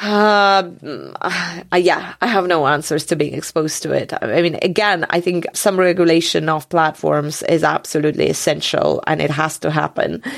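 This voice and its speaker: On a very clean recording with a silent background, a woman talks in a fairly low voice with vocal fry and ordinary pitch variation. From Georgia (country). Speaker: journalist. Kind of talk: interview.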